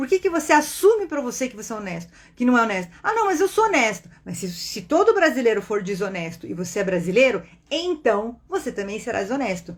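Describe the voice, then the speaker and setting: In a Brazilian accent, the speaker's animated tone carries very wide pitch swings and big swings in loudness. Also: woman, fairly high pitch for a woman, fairly quick pace. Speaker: spiritist online teacher and meditation guide. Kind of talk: casual teaching talk on a livestream.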